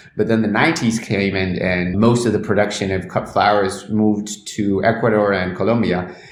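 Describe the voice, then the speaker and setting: A man talks with a fairly low pitch and hardly any pauses. Audible room echo and noticeable background noise surround his voice. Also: moderate pace. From Argentina. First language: Spanish. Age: 30s. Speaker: cannabis journalist. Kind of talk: interview. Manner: frequent repetitions and false starts.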